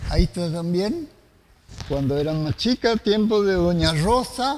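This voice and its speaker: A man speaks at a high pitch with very wide pitch swings. His pace is fairly slow. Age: old. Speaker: TV host. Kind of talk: casual chat.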